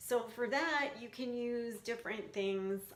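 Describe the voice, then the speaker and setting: Noticeable background noise sits under a woman with an American accent. She speaks at a fairly slow pace and a fairly high pitch. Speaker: skin picking coach. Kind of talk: casual tutorial. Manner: casual, hesitant with fillers.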